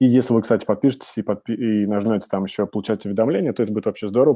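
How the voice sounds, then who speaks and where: A man speaks very fast in a fairly low, dark and mellow voice with fairly even intonation, recorded dry and close with no echo over a quiet background. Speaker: webinar host. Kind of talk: webinar presentation. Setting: online webinar. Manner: frequent filler sounds.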